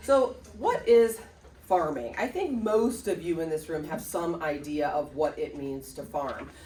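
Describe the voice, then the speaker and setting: With an American accent, a woman speaks as audible room echo rings around her voice. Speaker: real estate agent. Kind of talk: presentation. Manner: casual, filler-heavy.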